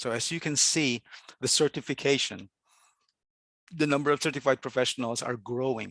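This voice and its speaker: The voice moves at a fairly quick pace. The background is quiet. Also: man. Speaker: webinar presenter. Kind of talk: presentation. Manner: fast; hesitant with fillers.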